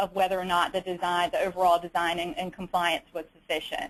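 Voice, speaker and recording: A woman with a Southern US accent talks at a very fast pace in a medium pitch with monotone, flat intonation. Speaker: state auditor, peer review committee member. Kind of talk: webinar presentation. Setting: webinar. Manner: many fillers and repetitions.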